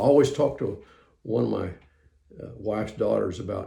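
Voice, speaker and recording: Audible room echo surrounds a voice with a dark, mellow tone and vocal fry, spoken at a moderate pace with ordinary pitch variation. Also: man. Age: 70s. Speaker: preacher. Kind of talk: testimony. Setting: home recording room. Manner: halting, many fillers.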